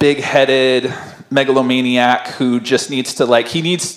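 A man's voice, delivered at a moderate pace, carries audible echo from the room. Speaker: pastor. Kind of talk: sermon. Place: church. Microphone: handheld.

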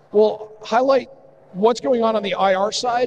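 Over light background noise, a man with a high pitch speaks at a fairly slow pace with fairly even intonation. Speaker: conference presenter. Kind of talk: conference talk. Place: hall.

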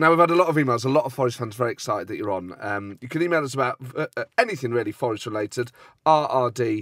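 Very fast and with lively intonation, a man of medium pitch speaks in a dry, close sound with no echo. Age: 30s. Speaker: podcast host. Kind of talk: casual chat.

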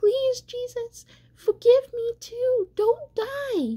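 A woman uses a put-on character voice with extremely high pitch and a dark, mellow tone. She speaks at a very slow pace with ordinary pitch variation.

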